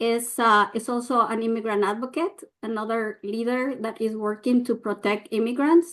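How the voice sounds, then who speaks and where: Speaking at a moderate pace with a Mexican accent, a woman uses a fairly high pitch and ordinary pitch variation. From Mexico. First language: Spanish. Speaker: nonprofit leader, immigrant advocate. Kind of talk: prepared talk at press briefing. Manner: hesitant, many fillers.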